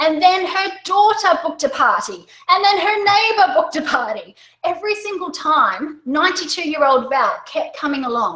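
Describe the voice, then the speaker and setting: In an Australian accent, a woman speaks in a raised, projected voice at an extremely high pitch, her tone animated and her intonation lively. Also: moderate pace. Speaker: direct sales coach. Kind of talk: webinar presentation. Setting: online webinar.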